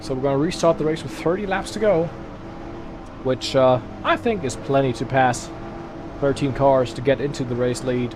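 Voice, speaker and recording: Pausing long and often, a man speaks at a moderate pace in a fairly high pitch with ordinary pitch variation against noticeable background noise. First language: German. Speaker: sim racing streamer. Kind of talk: live gaming commentary. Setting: live stream. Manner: casual, animated.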